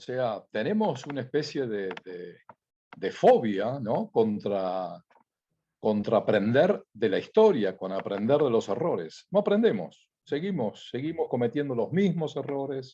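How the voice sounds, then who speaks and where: Speaking at a fairly slow pace, a man has a medium pitch, a dark, mellow tone and very wide pitch swings. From Argentina. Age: 70s. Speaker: company founder. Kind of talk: interview.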